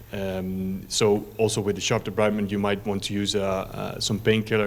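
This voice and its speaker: A man with a Dutch accent speaks at a moderate pace. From Netherlands. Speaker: company representative presenting a medical product. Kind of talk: conference presentation. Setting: conference stage. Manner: hesitant, many fillers.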